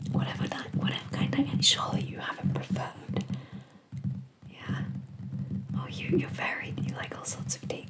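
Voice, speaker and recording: Someone whispers in a gentle tone over loud background noise. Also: moderate pace. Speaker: nail painting vlogger. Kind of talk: casual vlog chat. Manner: gentle whispered chat. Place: home room. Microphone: earbuds.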